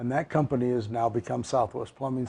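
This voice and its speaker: A man with a western US accent, dark and mellow, somewhat breathy, fairly quick, with fairly even intonation. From southern Utah, Cedar City. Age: 70s. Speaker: mayor. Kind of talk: interview.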